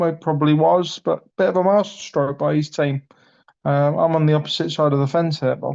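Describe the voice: A man's slightly mellow tone at a fairly high pitch and a moderate pace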